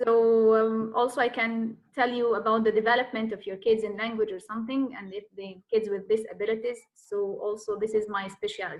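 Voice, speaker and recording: Speaking fairly quickly with hardly any pauses, a woman with an Egyptian accent uses a fairly high pitch and flat, monotone intonation while her loudness swings widely. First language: Arabic. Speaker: Arabic teacher. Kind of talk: self-introduction in online class Q&A. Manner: halting, many fillers.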